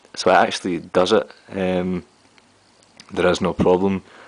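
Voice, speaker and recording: A man speaks in a Glaswegian accent with a very deep, low pitch. He leaves long, frequent pauses. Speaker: tech reviewer. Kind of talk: product review vlog. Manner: casual, with frequent fillers.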